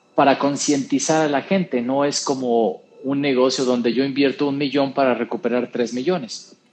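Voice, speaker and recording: A man's fairly high-pitched voice, a plain, everyday voice, at a fairly slow pace. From Mexico (San Luis Potosí). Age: 40s. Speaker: radio interview guest, businessman. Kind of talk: casual chat. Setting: radio studio.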